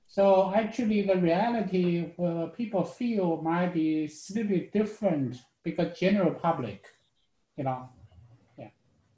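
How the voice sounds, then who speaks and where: Audible room echo surrounds the voice. A man speaks at a fairly slow pace. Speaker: student. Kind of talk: casual chat. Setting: video call. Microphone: video call.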